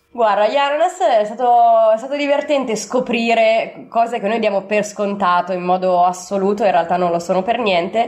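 Her fairly high voice carries lively intonation at a moderate pace. This woman leaves hardly any pauses. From Italy, Milan. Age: 30s. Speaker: traveller and volunteer. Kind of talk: interview. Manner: halting, with fillers.

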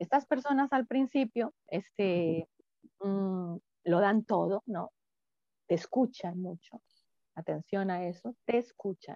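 Her tone is dark and mellow as the woman speaks at a very slow pace. The sound is dry and close, with no echo. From Colombia. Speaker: psychologist. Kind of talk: interview.

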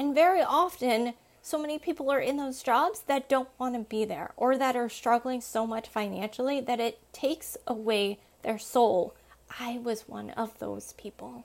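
This woman sounds animated, her voice high-pitched. Her pitch varies in an ordinary way. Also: moderate pace. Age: 30s. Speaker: podcast host. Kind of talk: motivational monologue.

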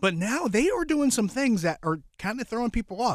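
A man speaks at a moderate pace with very wide pitch swings. The recording is very clean, dry and close, with a silent background and no echo. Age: 30s. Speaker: sports podcast host. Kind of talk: casual sports talk.

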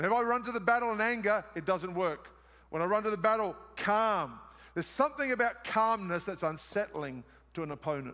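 Raising and projecting his voice, a man with an Australian accent sounds animated, his high pitch bright and sharp in tone and his intonation lively. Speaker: preacher. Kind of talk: sermon.

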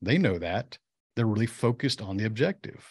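The background is quiet as a man speaks at a fairly quick pace. His voice is somewhat breathy. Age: 50s. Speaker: entrepreneur and business coach. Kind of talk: casual interview. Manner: animated.

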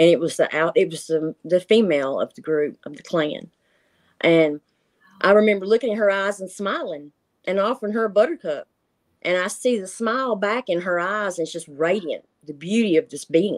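In a Tennessee accent, a woman with a medium pitch and lively intonation is heard on a very clean recording with a silent background and a dry, close sound with no echo. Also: moderate pace, big swings in loudness. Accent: US Southern (Tennessee). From Tennessee, Marshall County. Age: 50s. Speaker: retired grandmother recounting cryptid encounters. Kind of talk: interview, personal experience accounts.

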